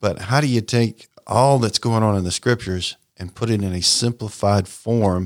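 With an American accent and an unremarkable speaking voice, a man talks at fairly low pitch and a moderate pace with fairly even intonation, in a very clean, dry, close recording with no echo and a silent background. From US South, Raleigh, North Carolina. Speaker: sports ministry leader. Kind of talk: radio interview.

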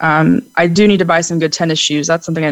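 A woman's voice sits fairly low in pitch, with fairly even intonation. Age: 20s. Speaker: education student, counseling guest. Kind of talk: counseling session. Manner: halting.

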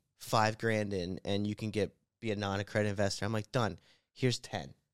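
A man's ordinary speaking voice, an ordinary speaking voice, fairly low in pitch, at a fairly quick pace, with a dry, close sound with no echo and a very clean recording with a silent background. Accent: American. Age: 20s. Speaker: real estate investor. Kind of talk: casual chat.

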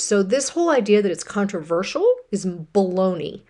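A normal speaking voice from a woman, medium in pitch, at a moderate pace. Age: 50s. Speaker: radio host and health coach. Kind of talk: solo radio talk.

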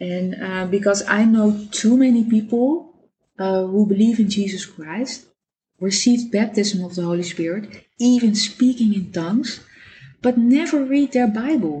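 A woman's fairly high, somewhat breathy voice with a dark, mellow tone, ordinary pitch variation and a fairly slow pace. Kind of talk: devotional talk. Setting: home dining table recording. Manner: halting, with many fillers.

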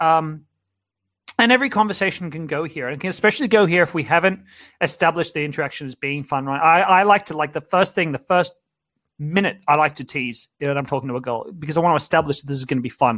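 The man's bright, sharp voice sits at a fairly high pitch and moves at a very fast pace with ordinary pitch variation. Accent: Australian. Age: 30s. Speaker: dating coach. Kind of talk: webinar lecture. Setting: live online webinar. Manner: animated.

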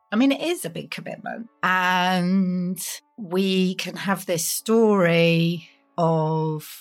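Music plays behind a woman speaking at a very slow pace. Her pitch is medium, with ordinary variation. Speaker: podcast host and writing coach. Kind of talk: solo podcast advice talk.

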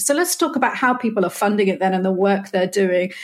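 Somewhat breathy, a woman's voice comes through. She speaks with a British accent. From Britain. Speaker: podcast host. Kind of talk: interview. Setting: remote call.

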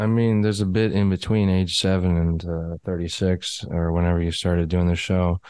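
Against a quiet background, a man with an American accent talks at a fairly quick pace in a very deep, low pitch, his loudness very even and his intonation flat and monotone. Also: hardly any pauses. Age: 30s. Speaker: podcast host. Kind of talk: casual interview chat. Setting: remote call.

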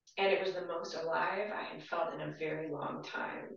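At a fairly slow pace, a woman speaks in a fairly low voice with ordinary pitch variation. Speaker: musician. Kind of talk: casual chat. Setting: studio.

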